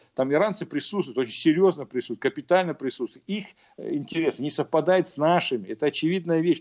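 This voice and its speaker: A man's very fast speech with lively intonation. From Uzbekistan, Fergana Valley (Margilan). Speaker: Middle East and military analyst. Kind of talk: radio interview. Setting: remote link. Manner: halting, many fillers.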